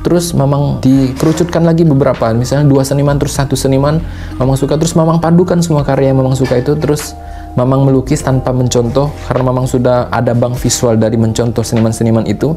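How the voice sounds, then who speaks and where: Music plays in the background as a man talks at a very fast pace with very even loudness. His pitch is medium and varies in an ordinary way. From Sumatra, Indonesia. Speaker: painter and vlogger. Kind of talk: casual talk to camera, advice. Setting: painting studio. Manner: casual, conversational.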